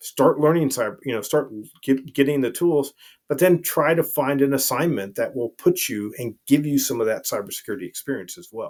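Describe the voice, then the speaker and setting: A man talks at a fairly quick pace in a normal speaking voice, with a fairly high pitch and big swings in loudness. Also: ordinary pitch variation. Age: 60s. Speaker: retired army colonel, veteran. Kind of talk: podcast interview.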